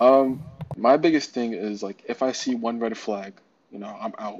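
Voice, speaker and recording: A man with a New York accent and fairly even intonation. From New York City (Brooklyn). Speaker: NFT community moderator. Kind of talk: casual interview.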